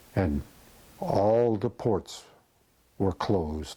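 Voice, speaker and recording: A man's somewhat breathy voice, dark and mellow in tone, fairly low in pitch. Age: 80s+. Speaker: war veteran. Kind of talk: interview answer.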